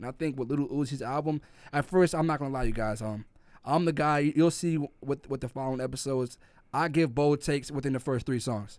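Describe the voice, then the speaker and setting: Talking at a very fast pace with a New York accent, a man with a fairly high pitch keeps a fairly even intonation in a very clean recording with a silent background. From New York City (Brooklyn, Crown Heights), Jamaican family. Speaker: podcast co-host. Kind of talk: casual chat.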